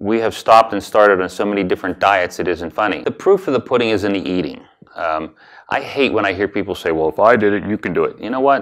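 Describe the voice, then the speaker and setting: In an American accent, a man speaks very fast at a fairly low pitch with ordinary pitch variation. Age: 60s. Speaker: weight loss client giving a testimonial. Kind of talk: testimony. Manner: halting, with many repeats and fillers.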